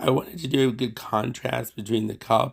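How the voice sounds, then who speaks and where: A man speaks in a somewhat breathy voice at a medium pitch. His pace is moderate, with ordinary pitch variation. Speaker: watercolor and glass artist. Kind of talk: painting tutorial narration.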